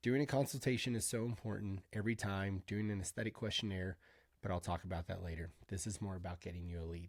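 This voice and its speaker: In a very clean recording with a silent background, a man speaks very fast at a fairly low pitch with ordinary pitch variation. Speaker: med spa owner and business coach. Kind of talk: screen-share tutorial. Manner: casual, chatty.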